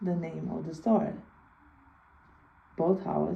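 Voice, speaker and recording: A woman is heard talking in a room with audible echo, and noticeable background noise runs underneath. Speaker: video blogger. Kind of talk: personal storytelling. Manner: halting.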